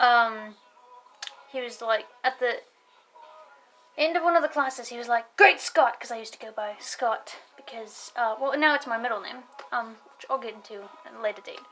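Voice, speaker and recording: Over music in the background, a woman with an American accent speaks at a moderate pace and high pitch, with ordinary pitch variation, big swings in loudness, and long, frequent pauses. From United States. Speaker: vlogger. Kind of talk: casual vlog monologue. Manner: rambling with many fillers, self-corrections.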